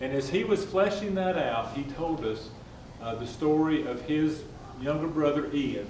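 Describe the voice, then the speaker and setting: Speaking with a Southern US accent, a man with a fairly high pitch and ordinary pitch variation moves at a fairly slow pace amid audible room echo. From North Carolina, North Wilkesboro. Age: 60s. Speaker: civic club leader. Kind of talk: speech.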